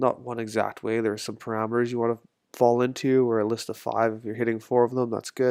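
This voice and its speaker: A man's medium-pitched voice runs at a fairly quick pace with monotone, flat intonation. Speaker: swim coach. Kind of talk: recorded course presentation. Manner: casual, conversational.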